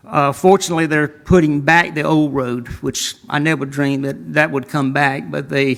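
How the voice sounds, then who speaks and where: A man with a Southern US accent speaks in a fairly high pitch. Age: 70s. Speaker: landowner speaking at public hearing. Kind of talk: public hearing testimony. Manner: halting.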